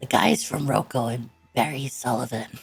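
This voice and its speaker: Over faint music in the background, a man puts on a raspy character voice at a moderate pace. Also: medium pitch for a man. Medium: actual play. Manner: halting, terse.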